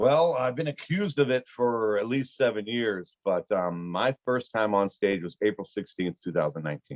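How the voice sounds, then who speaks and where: A man with an American accent and an unremarkable speaking voice, medium in pitch, at a moderate pace with lively intonation and hardly any pauses. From Pittsburgh, US. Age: 40s. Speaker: comedian. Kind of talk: casual chat. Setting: video call.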